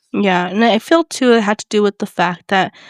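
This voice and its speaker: A woman's medium-pitched, normal speaking voice with ordinary pitch variation, dry and close with no echo. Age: 30s. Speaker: podcast co-host. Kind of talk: casual chat.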